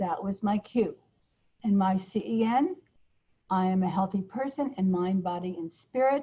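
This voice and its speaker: A woman with a dark, mellow tone and a somewhat breathy, medium-pitched voice speaks at a moderate pace with ordinary pitch variation and long, frequent pauses. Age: 70s. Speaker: change-model author and trainer. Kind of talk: online course teaching. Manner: conversational, informal.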